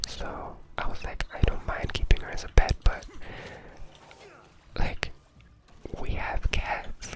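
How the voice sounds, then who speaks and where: A man whispers at a very slow pace, with long, frequent pauses and big swings in loudness. Noticeable background noise is present. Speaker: ASMR creator. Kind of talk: ASMR whisper ramble to camera. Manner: whispered, soft-spoken.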